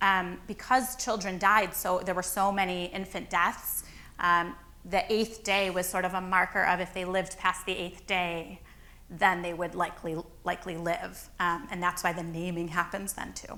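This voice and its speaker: In a room with audible echo, a woman with an American accent talks at a moderate pace in a monotone, flat voice of medium pitch and a bright, sharp tone. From Chicago. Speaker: rabbi. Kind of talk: lecture Q&A.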